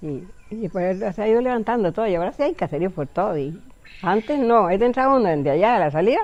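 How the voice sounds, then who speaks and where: Talking at a very fast pace, a woman uses a medium pitch with very wide pitch swings. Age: 80s+. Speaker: community elder, village founder. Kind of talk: interview, personal recollection. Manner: halting.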